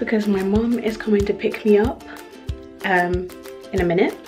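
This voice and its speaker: Clear music plays in the background. A woman speaks at a medium pitch with fairly even intonation. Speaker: events management student. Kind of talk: casual vlog talk to camera. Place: home room. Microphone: phone near.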